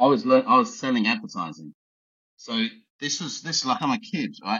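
A man with an Essex accent talks at a moderate pace in a fairly high voice with vocal fry. His pitch swings very widely. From Essex, England. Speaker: high performance coach and art collector. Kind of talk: casual podcast interview. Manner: joking, laid-back.

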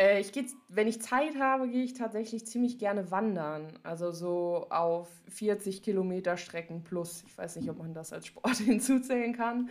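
At a moderate pace, a woman speaks at a medium pitch in an ordinary speaking voice. Her loudness swings widely while her pitch varies in an ordinary way. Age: 20s. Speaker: powerlifter and social media creator. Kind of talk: casual chat.

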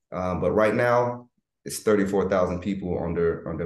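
There is audible room echo around this man's voice. He speaks with an American accent and ordinary pitch variation. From US South, Florida and Georgia. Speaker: military veteran and leadership coach. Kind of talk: interview conversation.

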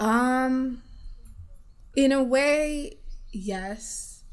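A woman's speech, with ordinary pitch variation, carries audible room echo. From Uganda. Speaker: middle school English teacher and community activist. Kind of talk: casual chat.

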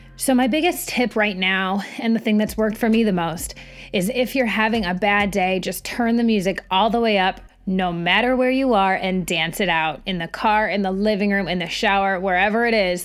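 With music playing behind her, a woman talks at a moderate pace with a Midwestern accent. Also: medium pitch for a woman, ordinary pitch variation. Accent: Midwest American. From Michigan. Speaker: podcast host. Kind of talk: casual interview chat.

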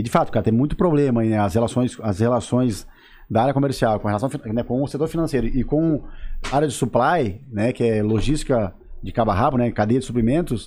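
With an ordinary speaking voice and medium pitch, a man talks at a fairly quick pace against a quiet background. His loudness stays very even, and his pitch variation is ordinary. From southern Brazil, Santa Catarina. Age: 30s. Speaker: sales and fashion business consultant. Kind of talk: casual interview chat.

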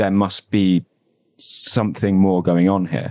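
Against a quiet background, a man with a southern English accent speaks slowly-ish in a fairly low pitch. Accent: southern English (London area). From Southeast London, England. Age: 20s. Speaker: former church member, podcaster. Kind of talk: interview, personal story. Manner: hesitant, many fillers.

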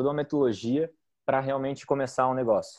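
A man talks at a medium pitch with fairly even intonation. It is an ordinary speaking voice. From southern Brazil, Joinville (Santa Catarina). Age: 30s. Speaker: startup founder, marketer. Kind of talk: podcast interview.

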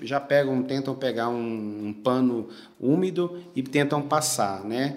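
Amid audible room echo and music in the background, a man speaks at a very slow pace and a medium pitch, with ordinary pitch variation. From Brazil, Goiás (Goiânia). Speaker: menswear store manager. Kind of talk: interview.

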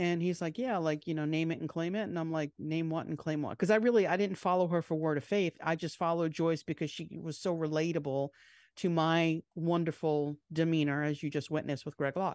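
In a New York accent, a woman with a fairly low pitch speaks at a fairly quick pace with hardly any pauses and fairly even intonation, the sound dry and close with no echo over a quiet background. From New York, Long Island. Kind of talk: casual chat. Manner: fast.

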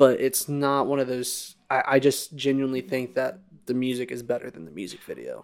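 In a very clean recording with a silent background, a man with a normal speaking voice and medium pitch talks at a fairly quick pace, his intonation fairly even but his loudness swinging widely. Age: 20s. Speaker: podcast host. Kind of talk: casual chat.

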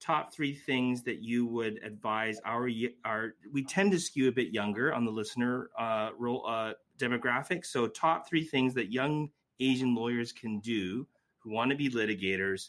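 A man talks at a moderate pace, his medium pitch showing ordinary variation. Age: 40s. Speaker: podcast host and lawyer. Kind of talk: interview conversation. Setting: video call. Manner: hesitant, repeats words.

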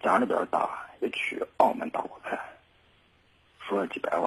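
A man talks at a fairly slow pace. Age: 20s. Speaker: caller, businessman. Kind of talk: phone-in conversation. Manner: halting.

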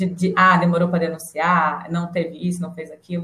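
A normal speaking voice from a woman, pitched fairly low, delivered at moderate speed. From Brasília. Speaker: psychologist. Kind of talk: casual chat.

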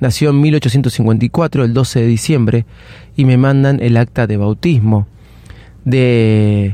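A man speaks very slowly in a Rioplatense accent. His dark, mellow tone sits at medium pitch with ordinary variation. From Argentina. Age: 40s. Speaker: podcast host. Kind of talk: personal storytelling monologue. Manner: casual, with frequent fillers and self-corrections.

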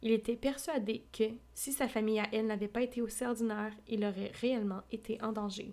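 A woman with a Quebec accent, fairly quick pace, flat monotone intonation, and a fairly high-pitched voice with a dark, mellow tone. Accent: Québécois French. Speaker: audiobook podcaster. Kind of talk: reading aloud. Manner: casual asides between reading.

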